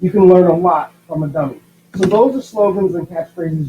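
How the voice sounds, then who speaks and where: A man speaks at a fairly quick pace in a high pitch. His intonation stays fairly even over noticeable background noise. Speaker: schoolteacher. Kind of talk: tutorial.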